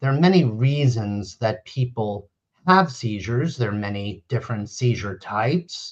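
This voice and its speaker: This man has an American accent and a somewhat breathy voice, with lively intonation at a moderate pace. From US Northeast, central New Jersey. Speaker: neurologist. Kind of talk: interview. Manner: explanatory, measured.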